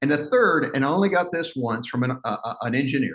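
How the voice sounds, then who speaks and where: A man talks fairly quickly in a medium pitch with an animated tone. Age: 60s. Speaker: motivational speaker. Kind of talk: keynote talk. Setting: webinar.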